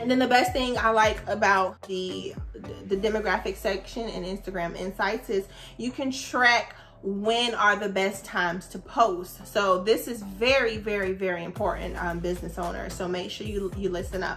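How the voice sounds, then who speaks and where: A woman talks at a moderate pace with a medium pitch. She has an unremarkable speaking voice. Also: ordinary pitch variation. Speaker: social media marketing coach. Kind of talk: tutorial. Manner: casual.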